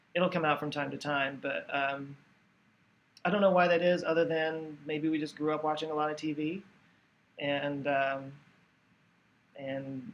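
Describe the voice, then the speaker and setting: Using fairly even intonation, a man with a fairly high voice and an American accent talks at a moderate pace. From Texas. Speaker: YouTube educational creator. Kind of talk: live stream Q&A. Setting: live stream at home. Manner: casual with many fillers and restarts.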